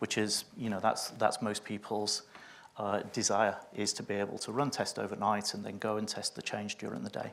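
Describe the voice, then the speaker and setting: This man has a Yorkshire accent and a fairly low pitch. He speaks at a moderate pace with monotone, flat intonation. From northern England, Sheffield. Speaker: test automation consultant. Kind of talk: conference panel discussion. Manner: hesitant, many fillers.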